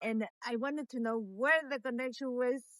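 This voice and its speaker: A woman with a Latin American accent speaks at a fairly slow pace and a high pitch. The sound is dry and close, with no echo. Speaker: meditation teacher. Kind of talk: casual interview chat. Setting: outdoors, walking in the street. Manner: halting, many fillers and repetitions.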